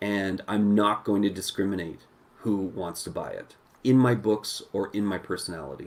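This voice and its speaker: A man's fairly low voice with ordinary pitch variation, on a very clean recording with a silent background. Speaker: live-stream host, comics commentator. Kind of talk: casual live-stream chat. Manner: slow-paced.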